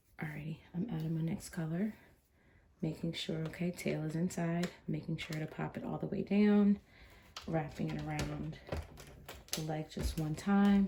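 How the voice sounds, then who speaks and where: A woman with a fairly low voice speaks at a moderate pace with fairly even intonation and long, frequent pauses, against noticeable background noise. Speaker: crafting tutorial host. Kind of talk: tutorial. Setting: livestream video. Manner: softer than usual, early morning; normally loud.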